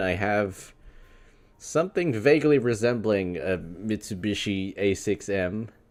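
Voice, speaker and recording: In a very clean recording with a silent background, a man with an American accent speaks at a fairly low pitch with lively intonation. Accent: New York accent, only slips out when upset. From US Northeast, New York. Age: 20s. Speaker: video game streamer. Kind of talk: live stream Q&A.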